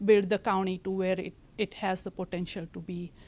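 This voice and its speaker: A woman in an Indian accent, monotone and flat, on a very clean recording with a silent background. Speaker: county land use director. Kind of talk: presentation. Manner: halting.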